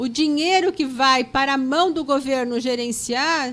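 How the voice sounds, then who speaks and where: This woman's voice is high-pitched. Her pitch varies in an ordinary way. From Brazil, São Paulo. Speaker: public school educator. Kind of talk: interview.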